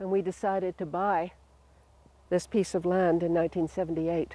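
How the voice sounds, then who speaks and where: Her voice is medium in pitch with a dark, mellow tone. The woman is recorded very cleanly against a silent background, with a dry, close sound and no echo. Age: 70s. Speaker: retiree featured in documentary. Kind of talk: documentary interview.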